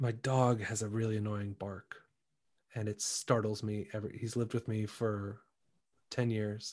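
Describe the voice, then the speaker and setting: The speech comes in a Midwestern accent, with monotone, flat intonation and long, frequent pauses. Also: man, fairly low pitch for a man, moderate pace. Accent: General American (Midwest). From US Midwest, Shaker Heights, Ohio. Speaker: Broadway actor. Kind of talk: casual chat. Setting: video call.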